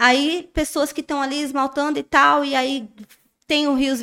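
A woman projects her raised, high-pitched voice with a bright, sharp tone. Her intonation stays fairly even at a moderate pace. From interior of São Paulo state, Brazil. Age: 30s. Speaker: nail influencer. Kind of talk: interview.

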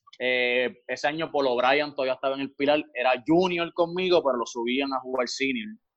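Hardly pausing, a man with an unremarkable speaking voice talks at a fairly quick pace and fairly high pitch with ordinary pitch variation. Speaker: volleyball player and coach. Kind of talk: interview.

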